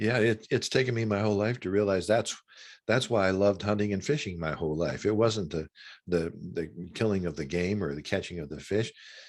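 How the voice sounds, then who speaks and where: A man's fairly low voice at a fairly quick pace, with ordinary pitch variation, on a very clean recording with a silent background. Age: 60s. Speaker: author and former minister. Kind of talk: interview conversation. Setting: long-distance call. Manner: halting, many repetitions.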